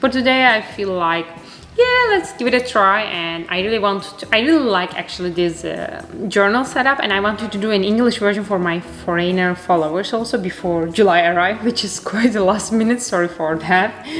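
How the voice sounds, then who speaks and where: A woman speaks at a fairly quick pace with a Turkish accent and ordinary pitch variation. Noticeable background noise and audible room echo fill the recording. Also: medium pitch for a woman. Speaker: art youtuber. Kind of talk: casual vlog chat while crafting. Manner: chatty; halting, many fillers.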